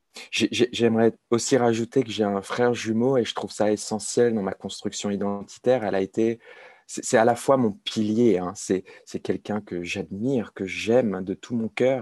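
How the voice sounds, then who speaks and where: Fairly slow pace from a man with medium pitch and fairly even intonation, in a dry, close sound with no echo over a quiet background. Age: 30s. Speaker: addiction peer expert, author. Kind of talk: interview about personal recovery. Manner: halting, many repetitions and hesitations.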